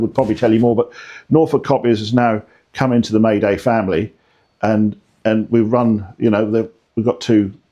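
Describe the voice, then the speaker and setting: Speaking very fast, a man has a dark, mellow tone at a medium pitch. The background is quiet. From Scotland. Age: 60s. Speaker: business consultant, copier salesman. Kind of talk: casual interview chat. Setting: studio.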